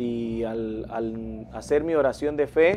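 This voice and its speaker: Light background noise sits behind a man's voice. His pitch varies in an ordinary way. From Guatemala. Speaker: pastor and worship singer. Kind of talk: religious interview. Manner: halting, hesitant. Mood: calm, earnest, religious. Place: studio.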